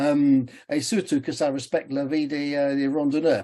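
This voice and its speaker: In a quiet background, a man with a dark, mellow tone speaks at a fairly slow pace. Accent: English. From England. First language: English (speaking French). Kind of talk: webinar talk. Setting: online webinar. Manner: halting, many hesitations.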